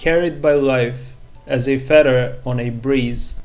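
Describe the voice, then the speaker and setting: A medium-pitched man, very slow and fairly even in intonation, with audible room echo. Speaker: movie review youtuber. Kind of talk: scripted narration; personal reflection to camera.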